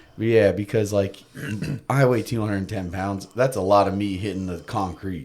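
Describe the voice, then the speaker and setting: A man with a fairly low voice speaks over noticeable background noise. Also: moderate pace. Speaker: skateboarder and radio personality. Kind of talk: casual chat. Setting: studio. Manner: animated.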